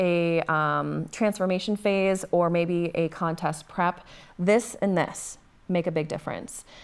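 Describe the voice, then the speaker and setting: A woman with a slight Minnesota accent in a very clean recording with a silent background. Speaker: bodybuilder and fitness coach. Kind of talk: casual interview chat.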